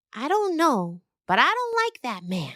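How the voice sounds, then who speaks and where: A female-sounding put-on character voice, high and swinging very widely in pitch, at a moderate pace. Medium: audio drama. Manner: earnest.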